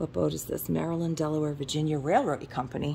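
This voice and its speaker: Light background noise behind a woman talking. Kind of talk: casual vlog chat. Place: shop. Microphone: phone near.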